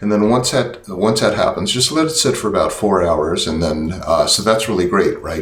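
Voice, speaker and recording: The pace is fairly quick as a man talks. Audible room echo hangs around his words. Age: 60s. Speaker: product demonstrator, channel host. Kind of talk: tutorial. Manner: casual, many fillers.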